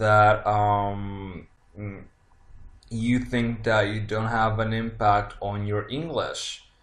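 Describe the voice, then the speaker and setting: In a room with audible echo, a man speaks at a very slow pace in a monotone, flat intonation. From Italy. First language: Italian. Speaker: tarot reader. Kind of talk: casual monologue. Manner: halting, many fillers.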